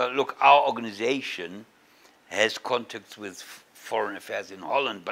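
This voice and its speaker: In a German accent, a man talks at a moderate pace. His tone is bright and sharp. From Germany. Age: 70s. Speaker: Holocaust survivor and activist; interviewee. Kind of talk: interview. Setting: East Jerusalem, on location. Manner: halting, many repetitions. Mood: earnest, explaining.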